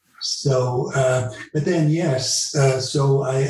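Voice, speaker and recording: A man speaks very slowly in a fairly high voice with fairly even intonation. Room echo is audible. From Netherlands, moved to Canada at 12. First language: Dutch. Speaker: retired law professor and legal counsel. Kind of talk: interview. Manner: halting, many repetitions and fillers.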